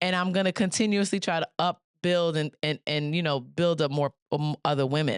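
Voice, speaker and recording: Against a quiet background, a woman with a Bronx accent speaks at a fairly low pitch and a moderate pace, her loudness very even and the sound dry and close with no echo. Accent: New York, Bronx. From New York City, the Bronx. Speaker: podcast host. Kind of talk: interview conversation.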